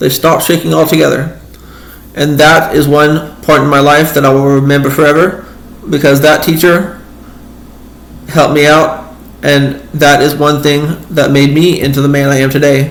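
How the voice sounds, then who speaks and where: A man's fairly high pitch with monotone, flat intonation, very even loudness and long, frequent pauses over noticeable background noise. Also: moderate pace. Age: 30s. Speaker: inspirational speaker and advocate. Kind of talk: casual talk to camera. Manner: hesitant, repetitive.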